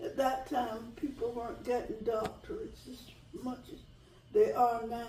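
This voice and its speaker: A high-pitched woman's voice with a North Carolina accent and lively intonation, set against noticeable background noise and audible room echo. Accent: Southern US (North Carolina). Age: 80s+. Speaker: retired teacher. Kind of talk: interview. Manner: halting.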